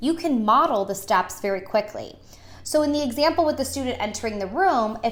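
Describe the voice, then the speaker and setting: A woman's voice with lively intonation. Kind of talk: tutorial. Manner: fast.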